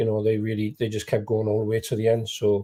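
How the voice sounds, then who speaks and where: In a very clean recording with a silent background, a man with an English accent speaks in a dark, mellow tone that is somewhat breathy. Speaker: non-league football pundit. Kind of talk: live football discussion. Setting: live broadcast.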